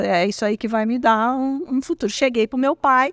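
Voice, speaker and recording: A woman with a high pitch comes through a very clean recording with a silent background, the sound dry and close with no echo. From Brazil, Minas Gerais (small town). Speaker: tech executive. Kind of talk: interview. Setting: at an event. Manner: animated.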